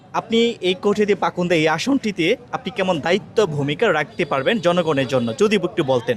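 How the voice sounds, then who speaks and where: A man's high-pitched voice with lively intonation, amid noticeable background noise. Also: very even loudness. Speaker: local news reporter. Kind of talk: interview questions.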